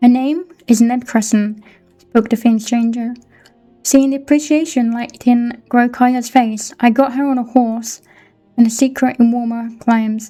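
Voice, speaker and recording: Music plays behind a woman with a British accent and a high pitch. She speaks at a fairly slow pace in a monotone, flat intonation. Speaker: book reader. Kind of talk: reading aloud.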